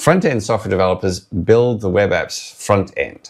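A man speaks at a fairly quick pace with a fairly low pitch and ordinary pitch variation over a quiet background. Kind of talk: tutorial. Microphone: lapel.

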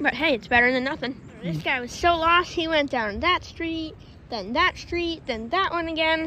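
In a raised, projected voice with a bright, sharp tone, a woman speaks at a moderate pace with lively intonation, the sound dry with no echo over light background noise. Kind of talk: casual vlog chat. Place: open country. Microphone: phone near.

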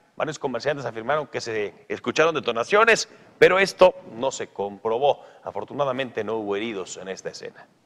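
A man's speech races along at a very fast pace, his intonation lively. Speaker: news anchor. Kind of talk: television news report.

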